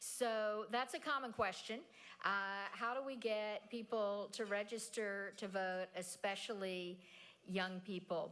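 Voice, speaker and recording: A woman speaks in a plain, everyday voice at a fairly slow pace. Her pitch varies in an ordinary way. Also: fairly high pitch for a woman. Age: 60s. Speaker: nonprofit president and keynote speaker. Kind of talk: audience Q&A. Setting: stage with audience.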